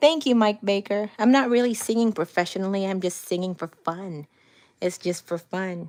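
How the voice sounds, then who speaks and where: A woman, whose pitch varies in an ordinary way, is captured in a very clean recording with a silent background. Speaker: cancer patient vlogger. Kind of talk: livestream chat with viewers. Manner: hesitant, many fillers.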